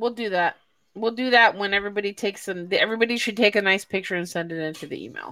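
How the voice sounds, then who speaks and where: Very clean and set against a silent background, the recording carries a bright, sharp voice with an American accent racing at a very fast pace through big swings in loudness. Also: woman. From Chicago. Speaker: podcast host. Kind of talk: casual chat. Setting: live stream.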